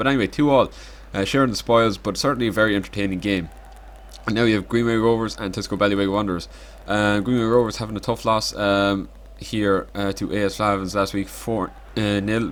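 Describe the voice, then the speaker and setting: In a very clean recording with a silent background, a man talks at a fairly quick pace with fairly even intonation and a fairly low pitch. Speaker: amateur football league commentator. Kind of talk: casual highlights commentary. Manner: hesitant, filler-heavy.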